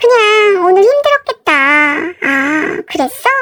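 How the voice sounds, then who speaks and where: At a very slow pace, a woman speaks with extremely high pitch and very wide pitch swings, in a dry, close sound with no echo. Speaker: married woman telling her story. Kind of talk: first-person story reading.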